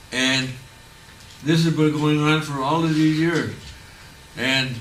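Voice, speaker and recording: A fairly high-pitched man with an American accent, in a monotone, flat intonation, with noticeable background noise and audible room echo. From Onondaga Nation, upstate New York. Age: 80s+. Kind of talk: public talk. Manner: halting.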